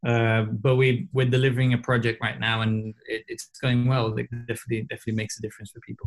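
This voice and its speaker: Speaking very fast, a man uses a medium pitch and a somewhat breathy voice. His intonation is monotone and flat. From southern Brazil, Porto Alegre. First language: Portuguese. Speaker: advertising strategist and coach. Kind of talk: casual chat. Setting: video call. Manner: halting.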